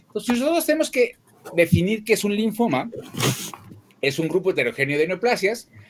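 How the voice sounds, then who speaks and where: A man speaks at a fairly quick pace with very wide pitch swings. Noticeable background noise can be heard. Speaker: pediatric oncologist. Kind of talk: lecture. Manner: fast.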